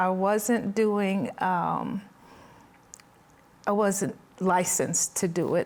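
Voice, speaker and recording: A woman speaks very slowly at medium pitch with ordinary pitch variation. Noticeable background noise is present. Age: 60s. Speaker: mental health counselor. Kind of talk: testimony.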